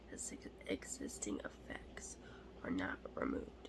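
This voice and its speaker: Noticeable background noise accompanies whispering delivered at a moderate pace. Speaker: ASMR creator. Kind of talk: ASMR card show-and-tell.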